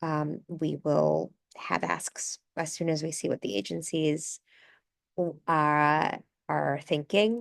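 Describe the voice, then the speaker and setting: A woman at a very slow pace with long, frequent pauses, the sound dry and close with no echo over a quiet background. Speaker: housing advocate. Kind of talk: presentation.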